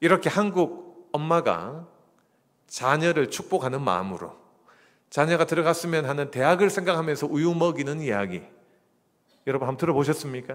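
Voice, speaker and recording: Speaking in a Gyeongsang accent, a man with a fairly high pitch and vocal fry talks at a moderate pace, using ordinary pitch variation and long, frequent pauses. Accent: regional non-Seoul Korean accent (Gyeongsang). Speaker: pastor. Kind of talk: sermon. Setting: church. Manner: conversational, humorous.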